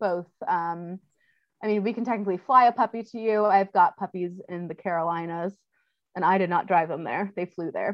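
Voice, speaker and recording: With an American accent, a woman uses an unremarkable speaking voice at a medium pitch and moderate pace, her loudness swinging widely while her pitch varies in an ordinary way. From California, Orange County. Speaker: dog breeder and trainer. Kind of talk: interview.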